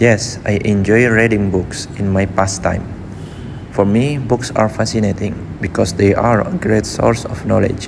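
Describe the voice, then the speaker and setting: A man's fairly low voice at a fairly slow pace, with fairly even intonation over noticeable background noise. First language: not English. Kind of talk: IELTS speaking practice answer.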